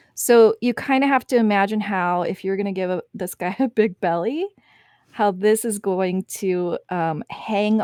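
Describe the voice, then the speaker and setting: A woman's medium-pitched voice with a Wisconsin accent, at a fairly slow pace with ordinary pitch variation, dry and close with no echo, on a very clean recording against a silent background. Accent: picking up a Wisconsin. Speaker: artist teaching drawing. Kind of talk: live-stream art tutorial. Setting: live stream.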